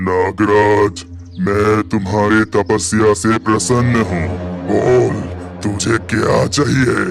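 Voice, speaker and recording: A man's cartoonish character voice, menacing and fairly low, at a very slow pace over clear music in the background. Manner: grandiose, menacing.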